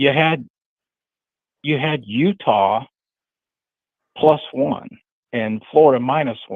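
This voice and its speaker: Very slow and broken by long, frequent pauses, a man's speech sits at a medium pitch. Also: ordinary pitch variation. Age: 60s. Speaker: college football fan guest. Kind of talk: casual chat. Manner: halting.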